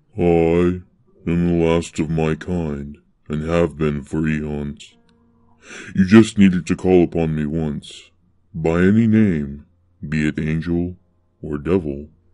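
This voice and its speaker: A soft-spoken man uses a put-on character voice with a very deep, low pitch. He moves at a fairly slow pace with long, frequent pauses. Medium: read story. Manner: calm, plain, faintly amused.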